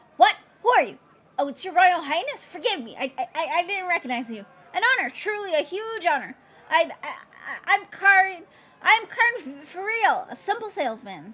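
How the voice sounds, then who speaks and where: Using a put-on character voice, a woman speaks at an extremely high pitch. Her voice is raised and projected, at a moderate pace. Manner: nervous, stammering.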